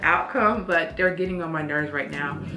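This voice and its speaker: Over background music, a woman talks at a very fast pace, with audible room echo. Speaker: nurse practitioner student vlogger. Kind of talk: casual vlog update.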